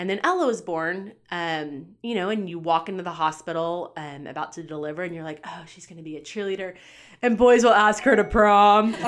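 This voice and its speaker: A woman has a plain, everyday voice at a fairly low pitch with ordinary pitch variation, talking at a fairly quick pace with big swings in loudness. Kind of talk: casual interview chat.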